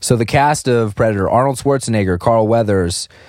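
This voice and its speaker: Medium pitch and a moderate pace from a man with a normal speaking voice. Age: 30s. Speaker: podcast host. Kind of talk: casual chat.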